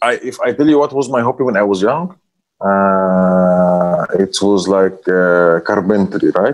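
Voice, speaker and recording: In an Arabic accent, a man speaks with a fairly low pitch. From Egypt. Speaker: hotel finance director. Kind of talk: interview. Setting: video call. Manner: halting.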